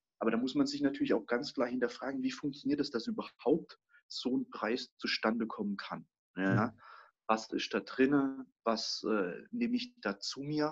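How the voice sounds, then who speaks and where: A man with a medium-pitched, ordinary speaking voice talks at a moderate pace with ordinary pitch variation. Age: 20s. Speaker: master baker. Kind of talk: casual interview chat.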